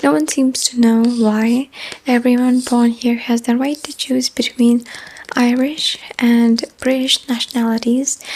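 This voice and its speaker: A soft-spoken woman whispers at a fairly slow pace over noticeable background noise. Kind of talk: casual talk to camera, random facts. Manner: soft-spoken, whispering.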